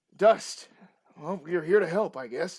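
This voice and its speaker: Using a put-on character voice, a man speaks high and raspy at a fairly slow pace with ordinary pitch variation. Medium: actual play.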